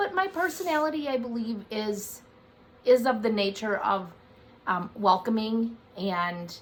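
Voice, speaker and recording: Loud and fairly high-pitched, a woman speaks with very wide pitch swings. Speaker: amateur video applicant. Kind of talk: casual chat.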